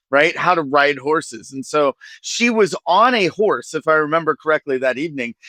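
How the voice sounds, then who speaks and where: A man's bright, sharp, fairly high-pitched voice with a Midwestern American accent, moderate pace and lively intonation, in a dry, close sound with no echo. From US Midwest, rural Ohio. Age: 40s. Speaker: nonprofit executive director. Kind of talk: podcast interview.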